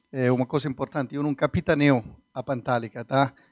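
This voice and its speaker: Against a quiet background, a man talks at a medium pitch with fairly even intonation in a dry, close sound with no echo. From Sicily, southern Italy. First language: Italian (speaking Portuguese). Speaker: business consultant. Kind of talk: interview. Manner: halting.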